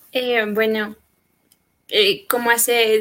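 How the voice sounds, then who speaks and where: A woman speaks at a fairly high pitch. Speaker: church choir singer. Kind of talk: testimony.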